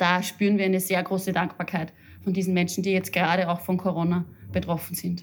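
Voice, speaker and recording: A woman speaks in a fairly low, somewhat breathy voice with monotone, flat intonation and very even loudness. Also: fairly quick pace. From Upper Austria. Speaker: head of a social counselling centre. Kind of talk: interview. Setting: office.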